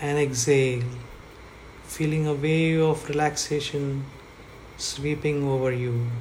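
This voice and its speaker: Fairly slow speech with long, frequent pauses and noticeable background noise. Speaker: guided meditation guide. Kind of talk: guided meditation.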